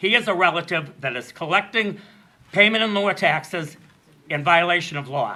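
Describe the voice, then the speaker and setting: A man talks at a moderate pace with a high pitch and ordinary pitch variation. He leaves long, frequent pauses. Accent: American. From Massachusetts (Andover). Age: 60s. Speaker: member of the public speaking at a meeting. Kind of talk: public comment at a meeting. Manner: animated.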